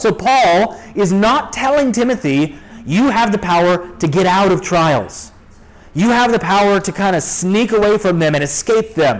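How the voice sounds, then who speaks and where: At a moderate pace, a man speaks with a high pitch and lively intonation. His loudness is very even, though noticeable background noise is present. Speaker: pastor. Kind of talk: sermon. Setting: church.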